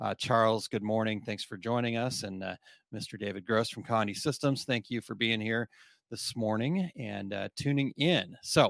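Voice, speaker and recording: This man has a plain, everyday voice at medium pitch, using ordinary pitch variation at a moderate pace. The recording is very clean and dry, close with no echo, over a silent background. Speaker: podcast host. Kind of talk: casual chat.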